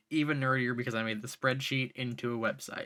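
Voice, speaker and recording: This man has a bright, sharp tone and a medium pitch. His intonation stays fairly even. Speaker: YouTuber. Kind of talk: scripted video essay. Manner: fast at times.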